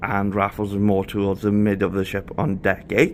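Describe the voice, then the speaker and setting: Here a man with a Welsh accent talks at a fairly low pitch. He keeps a moderate pace. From Wales. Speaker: travel vlogger. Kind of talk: ship tour vlog. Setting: walking around a cruise ship. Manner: casual, chatty.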